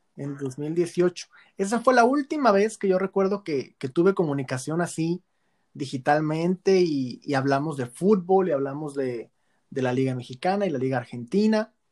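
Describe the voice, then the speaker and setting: This man has a normal speaking voice with a fairly high pitch and lively intonation. He goes at a moderate pace, and the sound is dry and close, with no echo. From Tijuana, Mexico. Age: 20s. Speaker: football blogger and lawyer. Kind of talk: casual chat.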